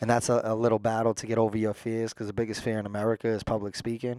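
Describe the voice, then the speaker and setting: A man talks at a very fast pace in a monotone, flat intonation. The recording is very clean, with a silent background. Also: dry, close sound with no echo. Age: 30s. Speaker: treatment center director in recovery. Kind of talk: casual interview.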